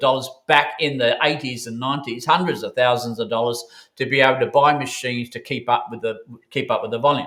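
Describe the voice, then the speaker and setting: The speaker has an Australian accent and a bright, sharp tone. Delivery is fairly quick with fairly even intonation. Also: man. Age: 70s. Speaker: bullion dealer co-founder, former engineering manufacturer. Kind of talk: interview. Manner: hesitant, many fillers.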